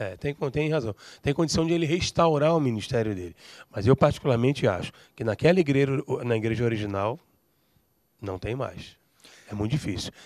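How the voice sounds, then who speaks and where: Over a quiet background, a man with a medium pitch talks at a fairly quick pace with lively intonation. He leaves long, frequent pauses, and the sound is dry with no echo. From Brazil. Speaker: pastor and writer; pastor. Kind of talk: panel discussion. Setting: studio. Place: studio. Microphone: handheld.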